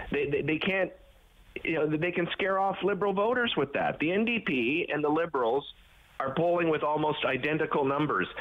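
A man's fairly high voice at a moderate pace, with ordinary pitch variation and very even loudness. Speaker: TV host. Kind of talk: casual chat. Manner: halting, many fillers.

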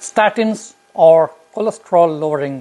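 A man's voice with lively intonation. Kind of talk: explainer to camera. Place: home room. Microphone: lapel.

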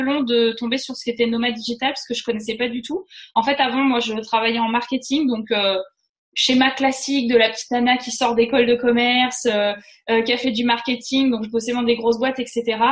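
Her voice sits high, with fairly even intonation, as this woman talks at a moderate pace. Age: 30s. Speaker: freelance web writer and digital nomad. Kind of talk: casual interview.

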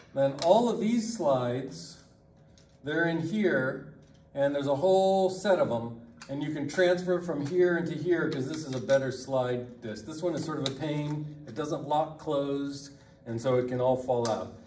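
A man speaks at a moderate pace with ordinary pitch variation. Audible room echo and light background noise are present. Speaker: lab instructor. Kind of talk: tutorial. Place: classroom. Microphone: camera far.

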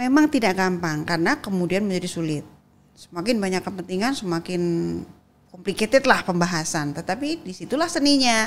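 A woman with a medium pitch talks at a fairly quick pace, her intonation lively. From Indonesia. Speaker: politician, legislator; guest. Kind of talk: interview conversation. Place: studio. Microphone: studio mic.

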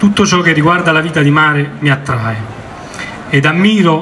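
Amid light background noise, a man talks at a moderate pace in a fairly high pitch with ordinary pitch variation. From Italy. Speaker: naval officer, commander of the local maritime office. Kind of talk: formal commemorative speech. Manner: formal. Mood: solemn, commemorative. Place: street. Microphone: podium.

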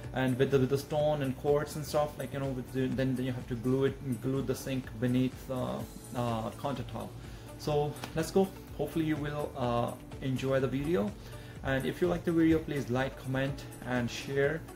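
Clear music plays in the background as a man talks at a moderate pace with fairly even intonation. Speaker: renovation contractor. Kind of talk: casual vlog intro. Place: home room.

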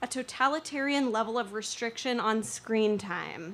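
A woman is speaking. She has an American accent. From Northern California, rural mountains. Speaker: storyteller. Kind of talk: storytelling performance.

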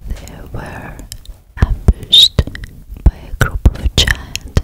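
A woman whispers, soft-spoken and breathy. She goes at a very slow pace. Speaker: ASMR storyteller. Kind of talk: whispered storytelling. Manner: close-mic ASMR whisper, soft and breathy. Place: home room. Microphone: studio mic.

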